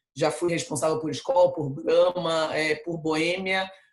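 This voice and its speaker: This woman speaks with a very deep, low pitch. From Brazil, Rio de Janeiro. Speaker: marketing executive. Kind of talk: interview. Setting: video call.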